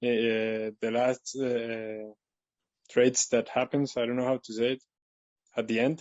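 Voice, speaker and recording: A man's medium-pitched, monotone, flat delivery with a non-native accent, at a fairly slow pace with long, frequent pauses. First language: not English. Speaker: webinar participant, trader. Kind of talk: question in webinar. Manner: halting, many fillers.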